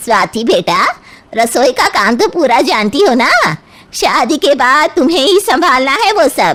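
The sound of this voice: Putting on a cartoonish character voice, a woman speaks at a high pitch with very wide pitch swings, very even loudness, and a moderate pace.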